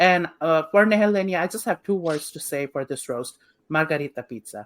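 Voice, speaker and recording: In a dry, close recording with no echo, a woman with a fairly low pitch talks fairly quickly, with lively intonation and big swings in loudness. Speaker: drag queen podcast co-host. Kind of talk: casual chat. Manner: animated.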